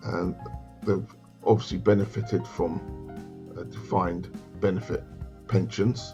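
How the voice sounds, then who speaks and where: Music plays behind a man with a very deep, low pitch and ordinary pitch variation. He talks at a fairly slow pace with long, frequent pauses. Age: 60s. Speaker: financial adviser. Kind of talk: casual talk to camera. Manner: hesitant, conversational.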